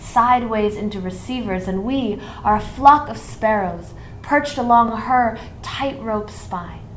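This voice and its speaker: Over noticeable background noise, a woman talks at a fairly slow pace, her fairly high pitch showing ordinary variation. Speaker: poet. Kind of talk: spoken word poetry performance.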